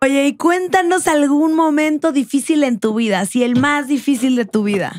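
Over a quiet background, a woman with a high pitch and an animated tone talks at a moderate pace, with lively intonation and very even loudness. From Mexico. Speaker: podcast host. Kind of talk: interview. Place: studio. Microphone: studio mic.

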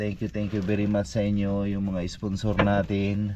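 Light background noise sits under a man's fairly low voice. The sound is dry, with no echo. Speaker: fisherman vlogger. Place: boat. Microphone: camera far.

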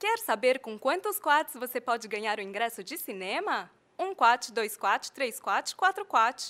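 In a Brazilian accent, a woman speaks at a fairly slow pace with very wide pitch swings and a high pitch. The sound is dry and close, with no echo. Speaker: voice actor. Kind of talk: TV commercial read.

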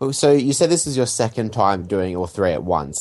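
Against a quiet background, a man talks in a normal speaking voice at a moderate pace with ordinary pitch variation. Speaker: podcast co-host. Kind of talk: interview.

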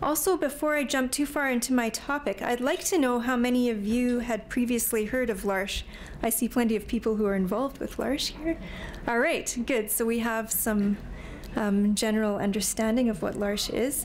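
A woman speaks at a moderate pace with very even loudness and ordinary pitch variation. Light background noise sits behind her. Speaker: speaker. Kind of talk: lecture. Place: hall. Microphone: podium.

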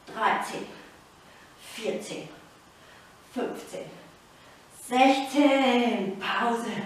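Strong room echo surrounds a woman speaking at a very slow pace, her high pitch showing ordinary variation. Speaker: fitness instructor. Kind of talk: workout coaching with counting. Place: home room. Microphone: camera far.

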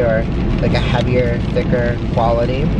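The sound is dry, with no echo. Loud background noise runs behind it. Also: man. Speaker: vlogger driving. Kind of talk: casual vlog chat. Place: car. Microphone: phone near.

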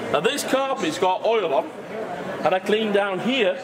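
Through loud background noise, a man speaks at a fairly slow pace. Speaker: product demonstrator. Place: hall.

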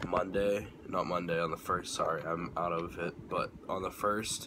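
Over noticeable background noise, a man talks at a fairly slow pace in a very deep, low voice with monotone, flat intonation. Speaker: vlogger. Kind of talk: casual vlog chat. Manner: groggy, out-of-it sick voice. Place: home room. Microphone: phone near.

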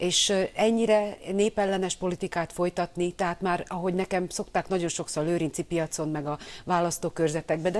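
Fairly low female speech at a moderate pace, its pitch varying in an ordinary way. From Hungary. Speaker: opposition politician. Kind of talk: TV news interview. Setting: studio. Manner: animated. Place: studio.

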